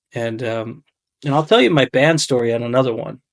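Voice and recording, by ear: A man with a raspy voice and vocal fry speaks at a medium pitch and a fairly quick pace, with ordinary pitch variation.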